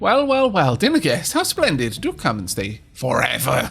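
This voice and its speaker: A croaky, put-on character voice from a man, fairly high in pitch, at a moderate pace. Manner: sinister, mockingly welcoming.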